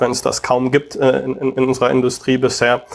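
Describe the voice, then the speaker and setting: A man speaks at a medium pitch. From Germany, Taunus near Frankfurt. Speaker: tech investor and entrepreneur. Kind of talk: interview. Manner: frequent hesitations.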